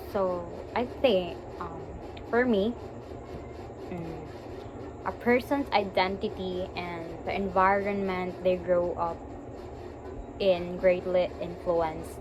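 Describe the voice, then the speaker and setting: With a Visayan Filipino accent and fairly even intonation, the speaker goes at a very slow pace with long, frequent pauses, amid audible room echo and noticeable background noise. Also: woman, medium pitch for a woman. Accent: Filipino (Cebuano) English. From Philippines, Cebu. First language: Cebuano. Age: 20s. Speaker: teacher and graduate student. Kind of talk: recorded class presentation. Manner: halting, with fillers and restarts.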